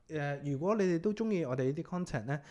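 Using a normal speaking voice, a man talks at a fairly quick pace, his pitch varying in an ordinary way. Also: very clean recording, silent background. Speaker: podcast host. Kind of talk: casual chat.

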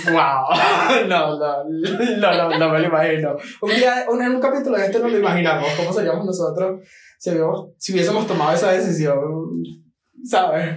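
The speech moves at a fairly slow pace, with ordinary pitch variation and very even loudness. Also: man, high pitch for a man. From Venezuela, Maracay (Aragua). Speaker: podcast co-host. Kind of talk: casual chat.

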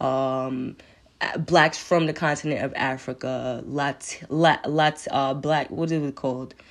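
In a quiet background, a woman with a New York accent speaks very slowly in a very deep, low pitch and a monotone, flat intonation. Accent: New York City. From New York City, Queens. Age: 20s. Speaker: podcast host. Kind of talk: solo monologue. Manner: halting, many fillers.

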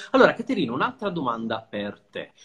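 This man speaks in a high voice with very wide pitch swings. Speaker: podcast host. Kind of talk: interview.

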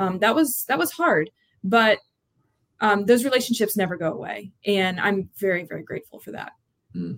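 A woman with an American accent speaks at medium pitch and a moderate pace, using lively intonation and vocal fry. Her loudness swings widely. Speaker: college lacrosse head coach. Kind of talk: interview.

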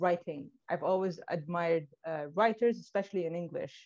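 A woman with a Libyan accent, fairly even intonation, quiet background. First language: Arabic. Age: 20s. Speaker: blogger. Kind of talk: interview. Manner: halting.

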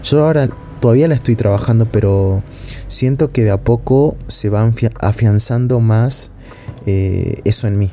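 At a fairly slow pace, a man talks in a medium pitch with ordinary pitch variation and very even loudness amid noticeable background noise. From Argentina, Salta. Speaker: university student podcaster. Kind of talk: casual monologue. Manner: hesitant, with filler sounds.

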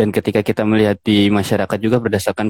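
A man's fairly low voice at a very fast pace. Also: dry, close sound with no echo. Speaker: public health student. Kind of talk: casual panel talk in an online live session.

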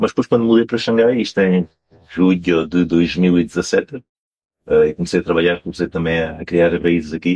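A man with a very deep, low voice speaks at a moderate pace, the sound dry and close with no echo. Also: ordinary pitch variation. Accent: strong Alentejo. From Portugal, Alentejo (Campo Maior). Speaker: wine importer. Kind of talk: interview.

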